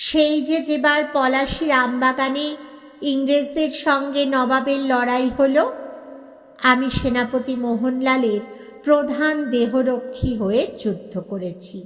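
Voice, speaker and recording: Over faint background music, a wheezy, put-on character voice speaks at a very slow pace. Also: woman. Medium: read story. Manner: breathless, old-fashioned, deferential.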